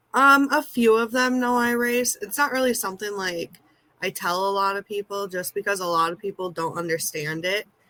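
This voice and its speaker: A moderate pace and lively intonation, with a dry, close sound and no echo. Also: woman, medium pitch for a woman. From US Midwest, central Minnesota. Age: 20s. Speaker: amateur race car driver, nursing assistant. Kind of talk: interview.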